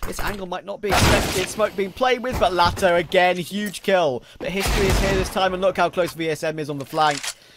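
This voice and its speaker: The speaker talks at a fairly quick pace. Noticeable background noise runs underneath. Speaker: esports commentator. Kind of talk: live esports commentary. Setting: stream with game footage. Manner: fast, excitable play-by-play.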